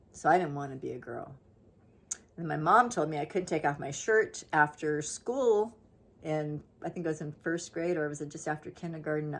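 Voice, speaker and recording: A woman with a very deep, low pitch talks at a fairly quick pace. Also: ordinary pitch variation. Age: 60s. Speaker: lifestyle vlogger. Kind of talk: casual monologue.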